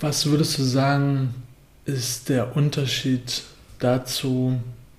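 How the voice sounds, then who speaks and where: Somewhat breathy and in a monotone, flat intonation, a man speaks at a medium pitch amid audible room echo. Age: 20s. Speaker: podcast co-host. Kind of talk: casual chat.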